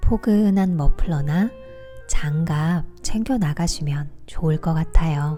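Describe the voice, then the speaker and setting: With music in the background, a woman speaks at a very slow pace in a calm tone. Her pitch is fairly low, with ordinary variation. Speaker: audiobook reader / book vlogger. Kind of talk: audiobook reading for relaxation and sleep. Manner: soft, calm, relaxing.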